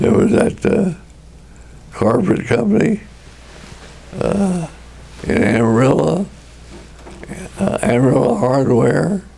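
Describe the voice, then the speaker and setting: Through noticeable background noise, a man with a New Mexico accent and a medium pitch speaks very slowly, with very wide pitch swings and long, frequent pauses. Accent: New Mexico, US Southwest. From Tucumcari, New Mexico. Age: 80s+. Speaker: retired furniture businessman. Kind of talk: deposition testimony.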